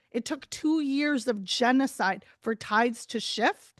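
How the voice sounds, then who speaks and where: Loud and high-pitched, a woman speaks with ordinary pitch variation in a dry, close recording with no echo and a quiet background. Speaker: journalist and advocate. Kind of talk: webinar talk. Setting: video call.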